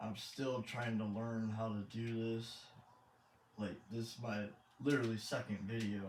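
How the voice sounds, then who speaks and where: The speaker has an American accent and a monotone, flat intonation. Noticeable background noise and audible room echo fill the recording. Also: man. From Michigan, US. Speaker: gaming YouTuber, truck driver. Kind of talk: gameplay commentary. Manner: halting, awkward pauses.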